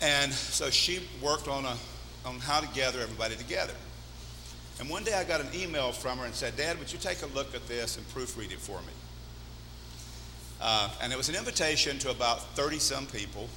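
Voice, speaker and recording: Amid noticeable background noise and audible room echo, a man talks at a fairly quick pace with long, frequent pauses. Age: 60s. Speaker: pastor. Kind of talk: sermon.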